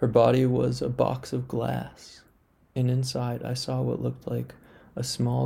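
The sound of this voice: The speaker reads in an unforced voice.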